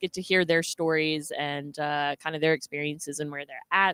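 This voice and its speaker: Bright and sharp in tone, a woman speaks at a moderate pace with fairly even intonation over a very clean recording and a silent background. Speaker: livestream host for a homeless shelter charity. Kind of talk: livestream chat, announcing upcoming guests. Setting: livestream. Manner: halting, many fillers.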